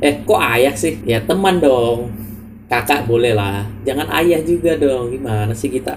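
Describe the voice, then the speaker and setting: Audible room echo surrounds a man speaking at a fairly slow pace. His medium-pitched voice has lively intonation. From Java, Indonesia. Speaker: student podcast co-host. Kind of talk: casual chat. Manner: calm.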